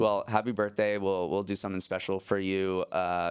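In a very clean recording with a silent background, a man with an American accent talks at a fairly quick pace in a very deep, low pitch with monotone, flat intonation. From Massachusetts, US. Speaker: news podcast host and managing editor. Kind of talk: casual news talk.

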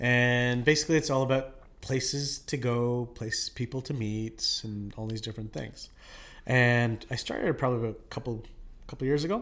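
A man with a Canadian accent talks in a normal speaking voice at medium pitch. His intonation is fairly even and his pace moderate. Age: 40s. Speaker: nurse and aesthetics clinic owner. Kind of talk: casual chat.

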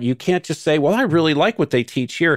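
A man with a fairly high pitch is heard on a very clean recording with a silent background and a dry, close sound with no echo. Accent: American. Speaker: former cult member and whistleblower. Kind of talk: interview.

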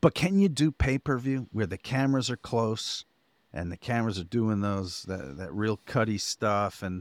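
A man speaks in a normal speaking voice at medium pitch, with lively intonation and a moderate pace. The recording is very clean with a silent background and a dry, close sound with no echo. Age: 50s. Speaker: podcast co-host. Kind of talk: casual chat.

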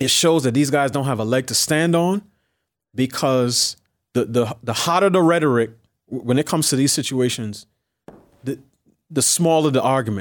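A man with a medium pitch and ordinary pitch variation speaks at a moderate pace, leaving long, frequent pauses. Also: very clean recording, silent background. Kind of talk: interview. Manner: measured, thoughtful.

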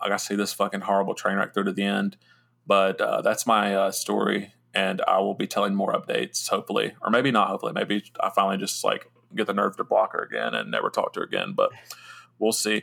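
Putting on a raspy character voice, a man speaks at a fairly quick pace. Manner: talking fast.

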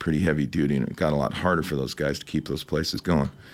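A man speaks with vocal fry. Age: 60s. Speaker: rock musician. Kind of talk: interview. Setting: studio.

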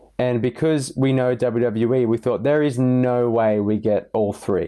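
A man with a normal speaking voice talks at medium pitch with ordinary pitch variation. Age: young. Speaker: wrestling fan panelist. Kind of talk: casual chat. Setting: remote call.

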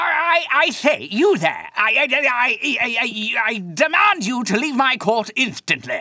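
The speaker does a put-on character voice, fairly high in pitch, at a very slow pace. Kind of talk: haughty, formal. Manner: pompous.

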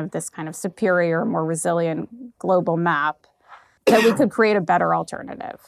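In a very clean recording with a silent background, a woman speaks with a fairly low pitch and ordinary pitch variation. Her moderate pace comes through dry and close, with no echo. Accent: New York. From US, New York. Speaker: venture capital investor. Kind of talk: interview. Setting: office in Prague, in person.

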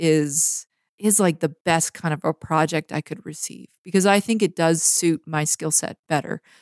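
In a dry, close recording with no echo, a woman with a Canadian accent and a normal speaking voice talks in a fairly low pitch with fairly even intonation and hardly any pauses. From Canada, Vancouver BC (North Shore). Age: 30s. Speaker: photographer. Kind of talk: interview conversation. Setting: remote recording from home.

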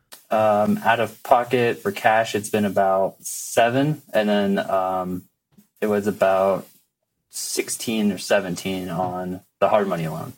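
A man speaks at a very slow pace. His pitch is fairly low, and his intonation is fairly even. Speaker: first-time real estate investor. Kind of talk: advice call-in Q&A.

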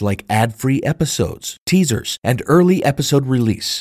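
A man speaks in a fairly high, somewhat breathy voice with lively intonation. His pace is moderate, and the sound is dry and close with no echo. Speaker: podcast host and history teacher. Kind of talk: true-crime mystery narration. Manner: formal, scripted and well-enunciated.

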